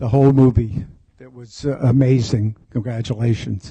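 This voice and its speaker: A man talks at a moderate pace with a dark, mellow tone, ordinary pitch variation and a somewhat breathy quality. The sound is dry and close, with no echo. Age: 70s. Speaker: audience member, photographer. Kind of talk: audience question.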